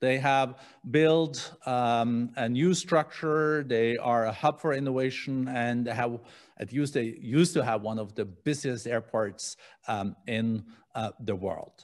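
Very slowly, a man talks, his pitch varying in an ordinary way. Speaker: host moderator. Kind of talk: interview question. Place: studio. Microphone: studio mic.

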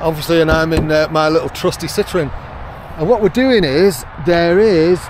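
A man talks in a dry sound with no echo, with noticeable background noise behind him. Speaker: kayaking vlogger. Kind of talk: casual vlog chat. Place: street. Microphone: phone near.

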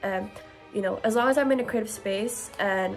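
A woman's voice over faint background music. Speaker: postgraduate student vlogger. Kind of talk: casual vlog chat. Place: home room.

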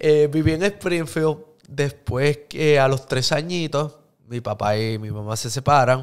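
Over a quiet background, a man speaks in a fairly high pitch at a very slow pace, with ordinary pitch variation. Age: 30s. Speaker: social media influencer and actor; podcast guest. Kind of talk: casual interview. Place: studio. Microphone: studio mic.

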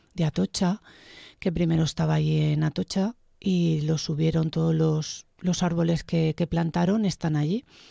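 Recorded very cleanly against a silent background, a woman speaks at a moderate pace with very even loudness, the sound dry and close with no echo. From Spain, Buñol (Valencia region). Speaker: guest interviewee. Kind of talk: casual interview.

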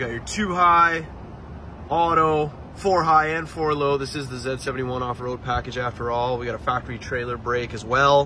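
A man's medium-pitched voice moves at a moderate pace through noticeable background noise, his pitch shifting an ordinary amount. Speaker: car salesman. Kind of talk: sales pitch. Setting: outdoors at car lot, walkaround video. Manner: enthusiastic, repeating superlatives like 'beautiful' and 'absolutely'.

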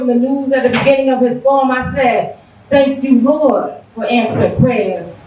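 A woman's high voice at a moderate pace, with fairly even intonation, audible room echo and light background noise. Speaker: poet. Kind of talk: poetry performance. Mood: earnest, personal. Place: bar.

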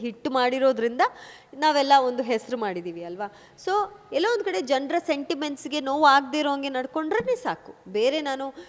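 The woman's pitch rises and falls in a lively way. Clear background noise accompanies her. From Kodagu (Coorg), Karnataka, India. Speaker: film actress. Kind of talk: interview.

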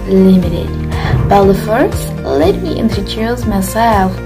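A woman takes a fairly slow pace as clear music runs in the background. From Solo, Central Java, Indonesia. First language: Indonesian. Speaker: university student. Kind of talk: class presentation on a company. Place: home room. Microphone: phone near.

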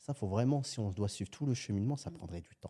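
A man speaks at a fairly quick pace with lively intonation and a fairly low pitch. His voice is somewhat breathy, with a dark, mellow tone. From France, Algerian family. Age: 30s. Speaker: entrepreneur. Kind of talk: casual interview.

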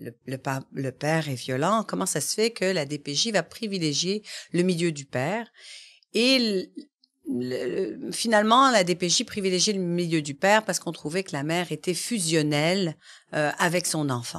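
A woman speaks fairly slowly in a fairly low voice with lively intonation. The background is quiet. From Quebec. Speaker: family and youth lawyer; youth lawyer. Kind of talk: interview. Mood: earnest, concerned. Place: studio. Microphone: studio mic.

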